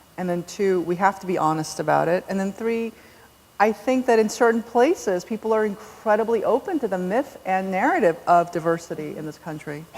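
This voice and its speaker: A woman's lively intonation at a medium pitch and a fairly quick pace, amid noticeable background noise. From South Korea, raised in US from age seven. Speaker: novelist. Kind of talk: onstage author conversation. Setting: stage with large audience.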